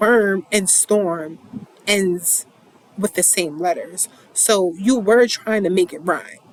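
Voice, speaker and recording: Against noticeable background noise, a woman talks at a very slow pace in a medium pitch with ordinary pitch variation. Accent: slight New York. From New York. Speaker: poetry reader and commentator. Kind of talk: casual monologue. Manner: halting, many repetitions.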